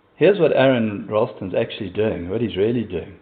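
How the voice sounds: His intonation is lively at a fairly low pitch. The man's voice has a slightly husky edge. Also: moderate pace.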